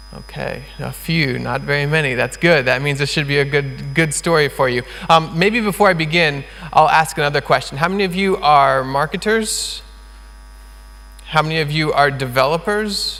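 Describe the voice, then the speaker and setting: Noticeable background noise sits behind this recording. A man with an American accent speaks at a moderate pace. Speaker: conference speaker, open source community founder. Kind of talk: conference talk. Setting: stage with audience. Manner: enthusiastic.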